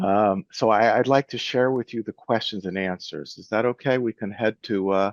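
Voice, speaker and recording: Against a quiet background with a dry, close sound and no echo, a man with an unremarkable speaking voice talks at a moderate pace and medium pitch with ordinary pitch variation. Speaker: lean management author and researcher. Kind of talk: Q&A talk on video call. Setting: video call.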